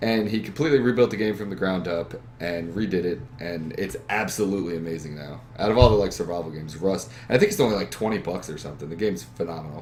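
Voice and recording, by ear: Speaking fast, a man uses a low pitch and a slightly mellow tone. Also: ordinary pitch variation.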